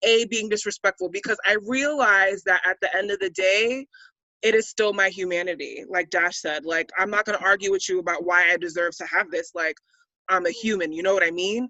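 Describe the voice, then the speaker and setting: Animated in tone, a woman speaks at medium pitch and a fairly quick pace with ordinary pitch variation. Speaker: athlete. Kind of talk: roundtable discussion. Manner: loud.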